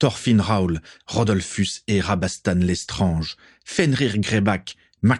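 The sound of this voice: The background is quiet behind this unforced reading voice.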